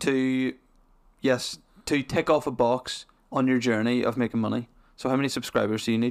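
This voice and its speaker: In a Northern Irish accent, a man speaks at a medium pitch in a flat monotone with long, frequent pauses, recorded very cleanly against a silent background. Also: moderate pace. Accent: Northern Irish, mild. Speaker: podcast host. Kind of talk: casual chat. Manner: jokey, laughs often.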